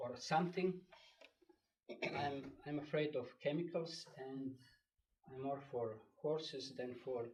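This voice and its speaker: A man speaks at a very slow pace with a European accent and a somewhat breathy voice. His pitch varies in an ordinary way. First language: not English. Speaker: local resident speaking at public hearing. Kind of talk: public comment. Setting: town board meeting room. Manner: halting.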